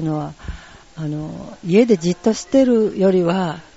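Noticeable background noise is present throughout. The words come at a moderate pace. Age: old. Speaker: tai chi club representative. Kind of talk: interview. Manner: halting.

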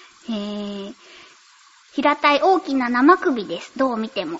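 A woman at a fairly slow pace, very wide pitch swings, noticeable background noise behind her. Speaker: voice actress and radio host. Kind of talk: casual chat.

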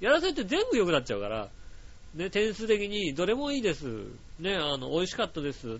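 A man with a high voice speaks at a fairly quick pace, his pitch swinging very widely. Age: 30s. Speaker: podcast host. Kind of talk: casual solo talk, reading listener mail.

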